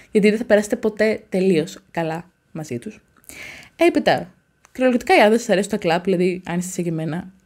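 Against a quiet background, a woman speaks at a moderate pace with lively intonation and long, frequent pauses. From Greece, provincial. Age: 20s. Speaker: YouTuber, university student; YouTuber. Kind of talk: casual vlog monologue. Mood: passionate, animated. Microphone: studio mic.

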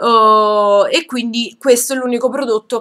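A woman with a fairly high pitch talks at a very slow pace with ordinary pitch variation against a quiet background. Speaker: beauty vlogger. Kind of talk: product review haul. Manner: hesitant, many fillers. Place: home room. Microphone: webcam.

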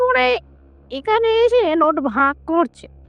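Very slow in pace, the speaker puts on a character voice. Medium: audio drama. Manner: timid, deferential, hesitant.

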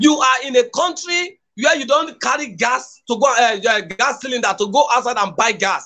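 Projecting a raised voice at an extremely high pitch, a man talks at a moderate pace in a bright, sharp tone with lively intonation and hardly any pauses. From Nigeria, Edo State. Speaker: political activist; guest commentator. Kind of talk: political commentary. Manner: impassioned. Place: home room.

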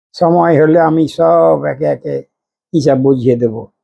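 This man speaks in a dark, mellow tone. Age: 60s. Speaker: political and religious commentator. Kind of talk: monologue commentary.

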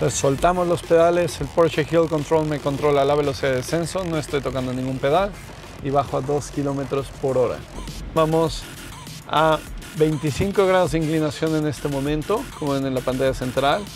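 Over clear music in the background, a man speaks at a moderate pace with fairly even intonation in a dry sound with no echo. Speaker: driving instructor. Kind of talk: instruction commentary. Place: car.

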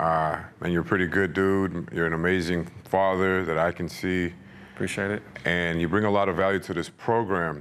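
The speaker has an American accent. The intonation is monotone and flat. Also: man, very deep, low pitch for a man, moderate pace. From East Texas. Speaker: YouTube channel host. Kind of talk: casual interview. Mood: warm, praising. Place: gym.

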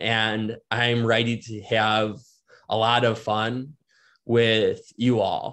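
A man with an American accent speaks very slowly. His medium-pitched delivery is monotone and flat. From Wisconsin, Milwaukee suburbs. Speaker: sports reporter. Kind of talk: casual chat.

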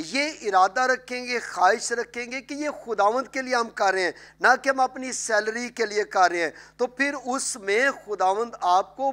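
In a bright, sharp tone, the speaker moves at a fairly slow pace with ordinary pitch variation. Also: man. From Pakistan. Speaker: pastor and TV program host; talk show host, pastor. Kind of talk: religious talk show interview. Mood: warm, earnest. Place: studio.

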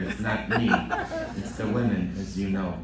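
A man speaks with audible room echo and light background noise. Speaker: priest. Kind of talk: sermon. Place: church. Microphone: podium.

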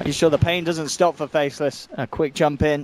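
A man with an ordinary speaking voice talks at a fairly high pitch, the sound dry and close with no echo. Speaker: esports commentator. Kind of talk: live commentary. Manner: fast, excitable play-by-play; rapid-fire, narrating action.

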